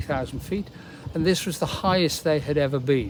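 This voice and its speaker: A British accent with ordinary pitch variation. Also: man. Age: 80s+. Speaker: charity chief executive. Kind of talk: appeal talk to camera. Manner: halting, with many fillers.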